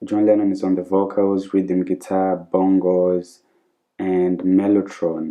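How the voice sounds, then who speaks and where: A man speaks in a very deep, low pitch. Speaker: music reaction youtuber. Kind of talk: casual reaction video.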